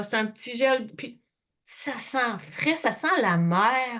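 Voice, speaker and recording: In a Quebec accent, a woman speaks with lively intonation, a bright, sharp tone and a fairly high pitch. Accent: Québécois French. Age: 60s. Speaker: skincare sales consultant. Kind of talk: product presentation. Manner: casual, chatty.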